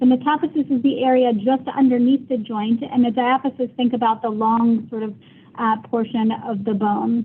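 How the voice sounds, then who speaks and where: A woman speaks at a high pitch with fairly even intonation. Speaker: pediatric orthopedic clinician lecturer. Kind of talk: lecture. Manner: fast; informal.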